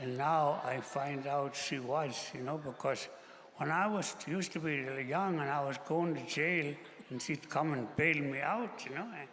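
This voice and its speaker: With audible echo from the room, a male speaker goes at a fairly slow pace. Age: 80s+. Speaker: elder on a panel. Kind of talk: storytelling.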